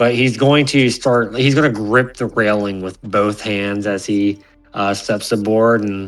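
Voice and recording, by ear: It is reading aloud in a natural voice.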